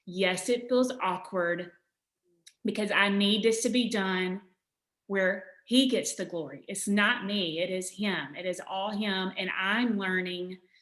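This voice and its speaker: With a Southern US accent, a woman speaks at a very slow pace with ordinary pitch variation. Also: medium pitch for a woman. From Alabama. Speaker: author. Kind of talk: interview answer.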